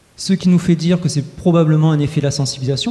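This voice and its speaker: A man talks over noticeable background noise. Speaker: researcher presenting survey results. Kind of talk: conference presentation. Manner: fast; hesitant with frequent filler euh.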